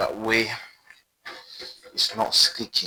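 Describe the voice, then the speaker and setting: A man talks at a very slow pace with a non-native accent. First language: not English. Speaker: cooking video creator. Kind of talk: cooking tutorial. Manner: casual, chatty.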